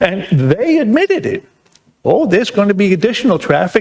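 Speaking at a moderate pace, a man talks in a New York accent. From New York, Long Island. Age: 70s. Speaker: resident speaking at public hearing. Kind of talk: public comment at town meeting. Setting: town planning board meeting.

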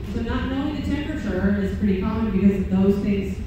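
A woman's voice in strong room echo, with noticeable background noise. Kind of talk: live demonstration commentary. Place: hall.

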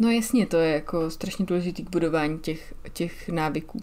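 Fairly low for a woman, her voice has a dark, mellow tone. She talks at a fairly quick pace with fairly even intonation. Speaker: podcast co-host. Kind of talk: casual chat.

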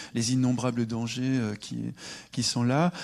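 At a moderate pace, a man delivers his lines with monotone, flat intonation. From France, Le Mans; France. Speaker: sociologist; guest. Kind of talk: public debate. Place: stage. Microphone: handheld.

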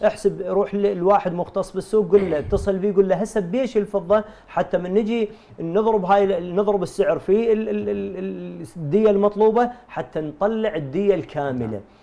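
A man with an Iraqi accent speaks at a moderate pace in a high pitch, with ordinary pitch variation and hardly any pauses. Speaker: religious scholar and research center director. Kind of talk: TV panel discussion. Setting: studio. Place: studio. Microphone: lapel.

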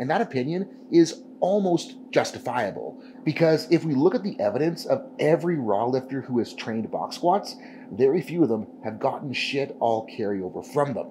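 The tone is dark and mellow with vocal fry, at a moderate pace. Pitch swings very widely over light background noise. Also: man. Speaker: powerlifting coach. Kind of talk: tutorial. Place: gym.

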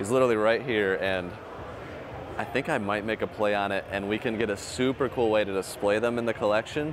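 A man speaks at a fairly quick pace and a fairly low pitch, with a dry, echo-free sound and noticeable background noise. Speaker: collector vlogger. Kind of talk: casual vlog chat. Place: hall. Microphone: lapel.

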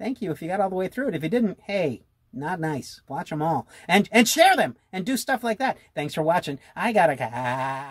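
A cartoonish character voice sits at a middle pitch. It moves at a moderate pace with hardly any pauses. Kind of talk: comic puppet sketch. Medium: puppet show. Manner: casual, wry, chatty.

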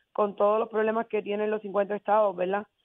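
A woman with a fairly high-pitched voice. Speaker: mayor. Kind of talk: radio interview. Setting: phone call.

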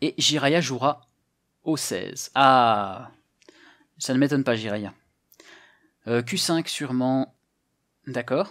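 A man talks at a very slow pace with long, frequent pauses. The background is quiet. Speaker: Go teacher and streamer. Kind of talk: live stream game commentary, workshop. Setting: live stream with chat. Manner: casual, hesitant, friendly. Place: home room. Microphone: headset.

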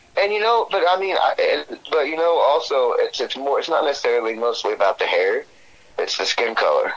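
Noticeable background noise runs beneath speech delivered at a fairly quick pace. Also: man. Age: 30s. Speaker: astrology reading subject. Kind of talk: casual chat.

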